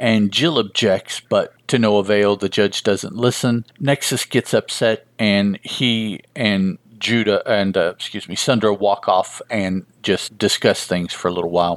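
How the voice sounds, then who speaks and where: An unremarkable speaking voice moves at a fairly slow pace with hardly any pauses and ordinary pitch variation. The sound is dry and close with no echo, and the recording is very clean with a silent background. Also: man. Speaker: comic book podcast host; emergency service worker. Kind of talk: podcast review of a comic issue, reading and recapping. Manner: casual, rambling, with fillers.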